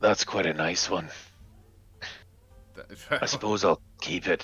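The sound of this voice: Over faint background music, a man in a put-on character voice speaks fairly slowly with a very deep, low pitch.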